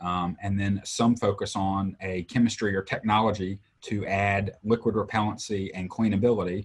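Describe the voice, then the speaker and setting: In a Southern US accent, a man talks at a moderate pace with hardly any pauses and a monotone, flat intonation over a quiet background. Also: fairly low pitch for a man. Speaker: textile industry sales trainer. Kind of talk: livestream interview.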